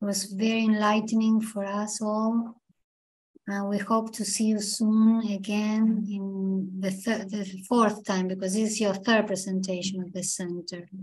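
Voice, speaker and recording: A woman speaks at a fairly slow pace in a monotone, flat intonation. Her voice is somewhat breathy. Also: medium pitch for a woman. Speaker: academic introducing the speaker. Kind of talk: formal introduction.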